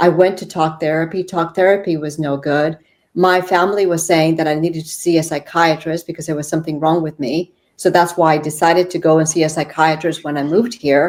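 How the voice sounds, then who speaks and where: In a fairly low, monotone voice with flat intonation, a woman speaks at a fairly quick pace. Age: 60s. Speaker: yoga therapist and shaman. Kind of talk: podcast interview.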